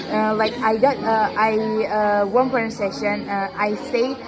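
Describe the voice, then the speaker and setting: With music in the background and audible room echo, a woman speaks fairly slowly at a fairly high pitch with fairly even intonation. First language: not English. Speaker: student. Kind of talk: classroom speaking practice. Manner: halting.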